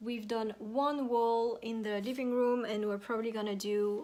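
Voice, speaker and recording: At a moderate pace, a woman with a French accent speaks in a fairly high pitch, her tone dark and mellow and her intonation monotone and flat. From France. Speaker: home decor YouTuber. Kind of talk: tutorial. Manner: casual, hesitant with fillers.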